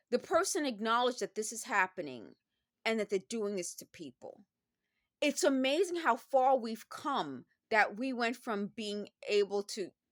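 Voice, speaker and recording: A woman with an American accent and a fairly high voice speaks at a moderate pace with lively intonation and big swings in loudness, in a dry, close sound with no echo. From New York City. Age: 50s. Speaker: vlogger. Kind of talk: casual monologue. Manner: halting.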